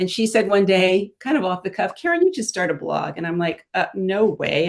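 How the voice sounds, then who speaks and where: A woman with an ordinary speaking voice, medium pitch and a moderate pace. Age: 60s. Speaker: fashion and beauty blogger. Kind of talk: casual chat.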